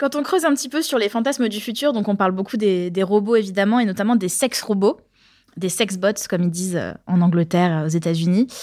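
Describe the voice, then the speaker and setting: A woman with an ordinary speaking voice, medium pitch, lively intonation and a fairly quick pace. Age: 30s. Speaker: podcast co-host. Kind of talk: casual chat.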